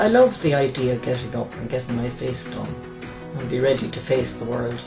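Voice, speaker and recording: Clear music plays behind a woman with a very deep, low pitch. She talks at a fairly quick pace. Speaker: interviewee. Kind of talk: interview answer. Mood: warm, appreciative. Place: home room.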